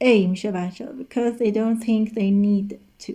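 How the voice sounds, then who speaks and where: A woman with a Persian accent, fairly high pitch and a dark, mellow, somewhat breathy tone, her intonation fairly even and her pace fairly slow. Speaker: English teacher. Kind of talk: lesson.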